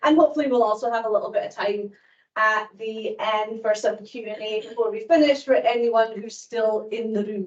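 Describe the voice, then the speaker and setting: A woman with a Scottish accent speaks at a fairly high pitch and a fairly quick pace. Her intonation stays fairly even while her loudness swings widely. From Scotland. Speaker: law professor. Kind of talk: lecture. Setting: lecture hall with audience.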